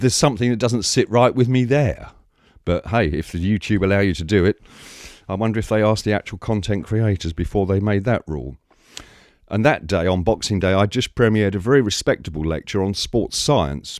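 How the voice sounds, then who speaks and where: Lively intonation marks a man speaking at a fairly quick pace with an English accent on a very clean recording with a silent background. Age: 60s. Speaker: YouTuber, film archivist. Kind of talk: rant to camera. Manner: animated.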